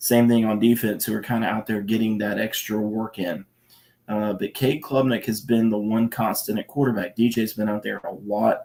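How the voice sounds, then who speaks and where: This quiet voice has a dark, mellow tone and a monotone, flat intonation, moving at a moderate pace. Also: man, medium pitch for a man. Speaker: college football reporter. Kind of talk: live stream Q&A talk. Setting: at home at night, kids asleep. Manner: speaking quietly; hesitant, many fillers.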